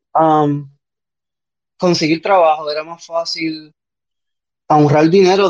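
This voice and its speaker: Speech at a fairly slow pace with fairly even intonation, recorded dry and close with no echo. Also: man. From Puerto Rico. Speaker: podcast guest. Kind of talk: casual chat. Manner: halting.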